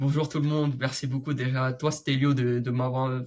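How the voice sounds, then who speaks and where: A man speaks at a medium pitch in a flat monotone, his voice somewhat breathy, on a very clean recording with a silent background. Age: 20s. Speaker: young entrepreneur and medical student. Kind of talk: interview conversation.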